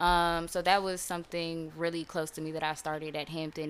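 In a normal speaking voice, a woman talks at a moderate pace. Her pitch is fairly low and her intonation fairly even. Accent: American. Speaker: brand founder and guest. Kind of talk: casual interview.

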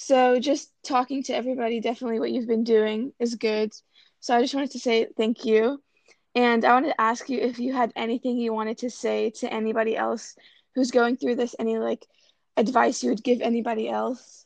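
A woman with an American accent speaks in a normal speaking voice at a fairly high pitch. Her intonation is fairly even, her pace fairly quick, and the sound dry and close with no echo. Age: young. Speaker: student podcaster. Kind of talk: scripted narration; casual chat.

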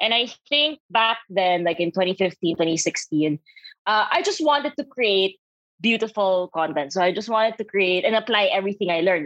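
A woman with a Filipino accent, medium pitch and a moderate pace, in a dry, close sound with no echo. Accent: Filipino English, Taglish. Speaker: creative and radio DJ. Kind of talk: casual interview chat.

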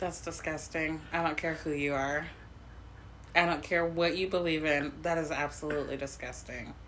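A woman speaks at a very deep, low pitch with vocal fry and a monotone, flat intonation. Her moderate-paced voice carries audible room echo. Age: 30s. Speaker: podcast co-host. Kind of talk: casual chat.

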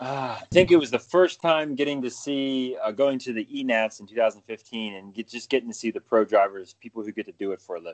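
A man with an American accent speaks in a normal speaking voice at medium pitch, with ordinary pitch variation. His pace is fairly quick with hardly any pauses, and his loudness swings widely. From Pennsylvania. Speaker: podcast co-host. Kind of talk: casual chat.

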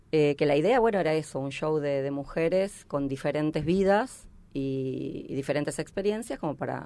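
A woman's very deep, low voice at a moderate pace. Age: 50s. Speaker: stand-up comedian. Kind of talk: casual chat.

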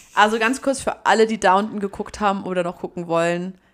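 A plain, everyday voice, a woman's, at a fairly quick pace with fairly even intonation. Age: 20s. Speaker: podcast co-host. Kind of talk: casual chat.

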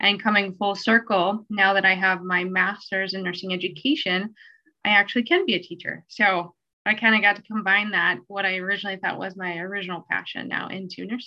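A woman with an American accent speaks in a normal speaking voice at a medium pitch and a fairly quick pace, with fairly even intonation. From Minnesota, US. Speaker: nurse and placement coordinator. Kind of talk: casual interview chat.

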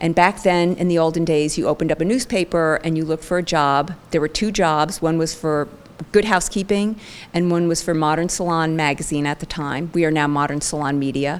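A woman with an unremarkable speaking voice talks at a fairly quick pace, her fairly low pitch carried on fairly even intonation. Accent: American. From New Jersey. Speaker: beauty magazine editor. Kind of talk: interview.

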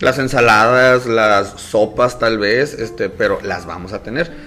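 Through noticeable background noise, a man speaks with ordinary pitch variation. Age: 30s. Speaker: business owner. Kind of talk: casual chat.

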